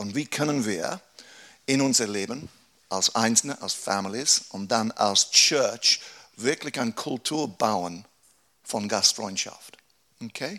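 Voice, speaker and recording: Speaking at a very slow pace with long, frequent pauses, a man uses a medium pitch, a bright, sharp tone and ordinary pitch variation. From England. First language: English (speaking German). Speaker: pastor. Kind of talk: workshop talk. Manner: halting.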